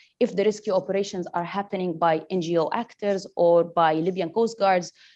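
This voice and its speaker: A woman talks with a dark, mellow tone and ordinary pitch variation. The background is quiet. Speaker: researcher presenting findings. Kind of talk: workshop presentation Q&A. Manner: fast.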